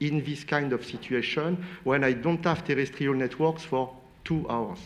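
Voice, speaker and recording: In a French accent, the speech moves at a moderate pace with ordinary pitch variation. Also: man. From France. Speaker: space industry expert on panel. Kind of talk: panel debate.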